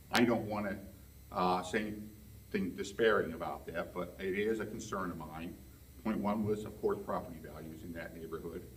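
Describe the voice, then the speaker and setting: Audible room echo surrounds a man who talks at a moderate pace with lively intonation. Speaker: resident speaking at public hearing. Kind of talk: public comment at zoning meeting. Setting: public meeting room. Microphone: speaking without microphone.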